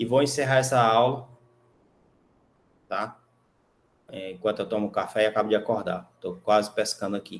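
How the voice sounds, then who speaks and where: A man at a medium pitch and moderate pace, with fairly even intonation. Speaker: university professor. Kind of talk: lecture. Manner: casual, conversational.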